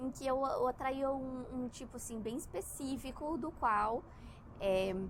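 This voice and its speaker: The woman's voice sits high. She speaks at a very slow pace. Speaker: spiritual content creator. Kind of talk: casual monologue. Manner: halting.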